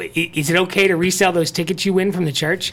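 Moderate pace and high pitch from a man, with noticeable noise behind him. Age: 40s. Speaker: morning radio show host. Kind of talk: casual chat.

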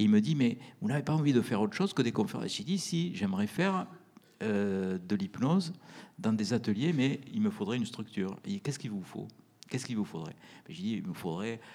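At a fairly quick pace, a man with a medium pitch makes very wide pitch swings. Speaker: anesthesiologist and author on near-death experiences. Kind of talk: interview talk with audience Q&A. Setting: stage with live audience.

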